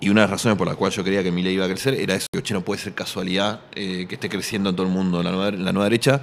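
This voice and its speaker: A man's very deep, low voice at a very fast pace, hardly any pauses, fairly even intonation, with noticeable background noise. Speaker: writer and journalist. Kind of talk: radio interview. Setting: radio studio at book fair.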